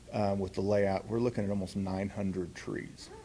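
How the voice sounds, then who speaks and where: Fairly low male speech at a moderate speed, carrying audible room echo. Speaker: city parks manager. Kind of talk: conference talk. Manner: loud; halting, many fillers.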